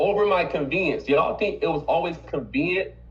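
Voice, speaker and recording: Audible room echo surrounds a man talking at a fairly quick pace in an animated tone. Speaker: business owner and team trainer. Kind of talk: motivational team meeting talk. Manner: fast.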